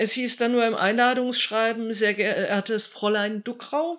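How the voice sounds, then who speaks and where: A woman with a fairly high pitch and a plain, everyday voice talks at a fairly slow pace. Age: 50s. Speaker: civil protection volunteer leader. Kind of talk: interview answers.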